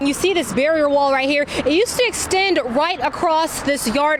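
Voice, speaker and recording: A woman's enthusiastic, upbeat tone with lively intonation, over noticeable background noise. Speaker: TV news anchor and reporter. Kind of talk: TV news field report.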